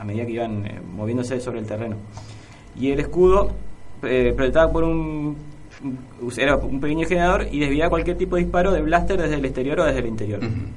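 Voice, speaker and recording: A man's medium-pitched voice with lively intonation, a fairly quick pace and long, frequent pauses, amid audible room echo and noticeable background noise. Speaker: radio co-host. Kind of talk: radio show.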